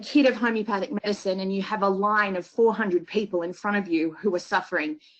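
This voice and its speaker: In an Australian accent, a woman speaks at medium pitch with a bright, sharp tone. Her intonation stays fairly even. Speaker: homeopath. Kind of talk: lecture.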